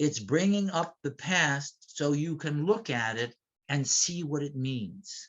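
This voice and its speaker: Very slow speech from a man with an American accent, fairly high pitch and lively intonation. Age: 70s. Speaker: retired park ranger, history presenter. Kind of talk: lecture. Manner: halting, with frequent fillers.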